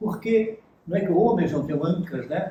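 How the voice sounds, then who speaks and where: A man's dark, mellow tone comes through at a very slow pace. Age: 80s+. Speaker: professor emeritus of literature. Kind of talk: literary talk, conversation before audience. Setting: academic event with audience. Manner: animated.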